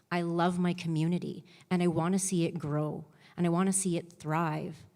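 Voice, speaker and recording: A woman speaks in an Albertan accent at a moderate pace. Her pitch is fairly low. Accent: Canadian (Alberta). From Canada, Lethbridge, Alberta. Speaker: election candidate. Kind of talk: debate opening statement. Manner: halting, repeats words.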